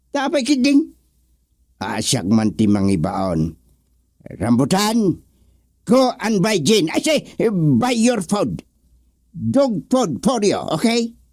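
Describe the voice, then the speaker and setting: Using a put-on character voice, a man talks at a high pitch and a very slow pace, leaving long, frequent pauses. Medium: audio drama. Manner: mixes English commands into Ilocano.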